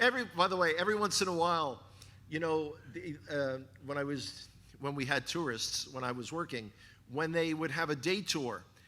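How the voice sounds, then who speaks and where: In a New York accent, a man speaks with a fairly high pitch and a bright, sharp, animated tone, with audible room echo. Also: lively intonation, moderate pace. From New York City (the Bronx). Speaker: guest speaker, former Israel tour guide. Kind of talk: sermon. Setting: church congregation with slides.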